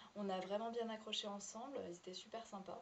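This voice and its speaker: Amid noticeable background noise and audible room echo, a woman talks at a moderate pace with fairly even intonation. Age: 20s. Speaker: former au pair. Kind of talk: testimony. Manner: halting.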